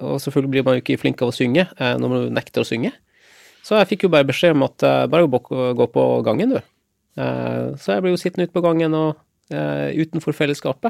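In a dry, close sound with no echo, the words come at a fairly quick pace. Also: man. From Lofoten, northern Norway. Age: 40s. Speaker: war veteran. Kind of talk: interview conversation. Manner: halting with fillers.

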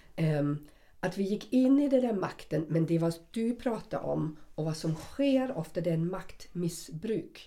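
With a dark, mellow tone, a woman speaks in a fairly low pitch that swings very widely. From West Germany. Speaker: podcast co-host. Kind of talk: casual chat.

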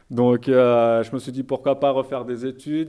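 Against a quiet background, the voice has a dark, mellow tone and moves at a fairly slow pace. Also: man. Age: 30s. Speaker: theology student. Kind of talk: interview.

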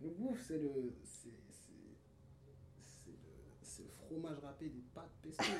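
Recorded with audible room echo and noticeable background noise, a man speaks at a very slow pace, his loudness swinging widely. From France, Paris region (Pontoise), childhood years in Cameroon. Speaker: musician. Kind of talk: casual interview.

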